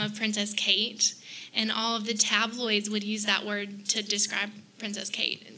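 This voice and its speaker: Noticeable noise sits behind the voice. A woman speaks in a Southern US accent. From South Carolina (Greenwood, Columbia). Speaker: fashion blogger. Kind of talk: casual chat.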